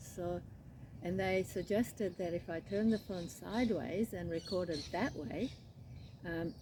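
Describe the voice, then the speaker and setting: A woman speaks at a fairly slow pace in an Australian accent, with a fairly low pitch and ordinary pitch variation. Her dark, mellow tone carries some vocal fry. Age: 70s. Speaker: crochet vlogger. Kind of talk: casual chat. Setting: outdoors. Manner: relaxed, unhurried.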